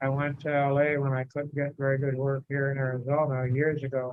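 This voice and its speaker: The speaker is a man. His pitch is fairly high. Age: 80s+. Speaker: family member. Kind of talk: casual chat. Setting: video call.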